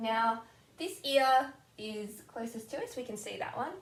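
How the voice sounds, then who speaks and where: Noticeable background noise surrounds this recording. A woman speaks at a fairly high pitch with ordinary pitch variation. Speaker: drawing tutor. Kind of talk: tutorial. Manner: animated.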